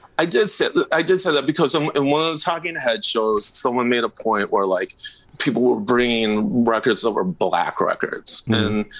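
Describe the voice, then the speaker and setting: With noticeable background noise behind him, a man speaks at a moderate pace and swings his pitch very widely. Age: 50s. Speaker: record store owner and music fan. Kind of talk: casual interview chat.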